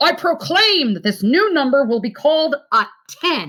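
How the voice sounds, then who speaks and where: A loud, high-pitched, put-on character voice. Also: moderate pace. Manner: loud proclaiming.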